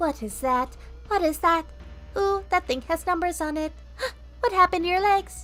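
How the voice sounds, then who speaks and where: Clear music plays behind a woman using a put-on character voice at an extremely high pitch, speaking at a moderate pace with long, frequent pauses. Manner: excitedly curious.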